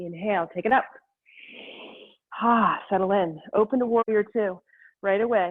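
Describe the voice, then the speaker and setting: A woman speaks at medium pitch with fairly even intonation. Her pace is fairly slow. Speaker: yoga instructor. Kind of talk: guided yoga class instruction. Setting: video call class. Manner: calm, rhythmic cueing with breath.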